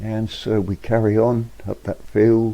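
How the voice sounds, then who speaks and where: Speaking very slowly in a Yorkshire accent, this man has a fairly low pitch and a relaxed tone. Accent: Yorkshire (Hull) English. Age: 70s. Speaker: vlogger. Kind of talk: casual narration. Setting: outdoors. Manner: relaxed, hesitant.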